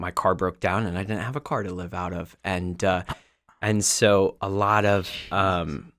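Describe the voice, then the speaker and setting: The voice has monotone, flat intonation, heard dry with no echo against a quiet background. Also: man. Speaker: podcast guest. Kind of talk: interview answer. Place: studio. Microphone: studio mic.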